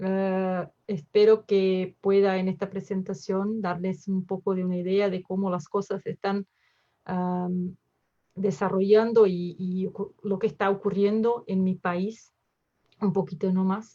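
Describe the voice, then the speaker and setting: Speaking at a fairly slow pace, a woman uses a medium pitch with monotone, flat intonation. Her tone is dark and mellow. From southern Brazil, Porto Alegre. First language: Portuguese (speaking Spanish). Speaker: emergency physician. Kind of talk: lecture. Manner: halting, many fillers.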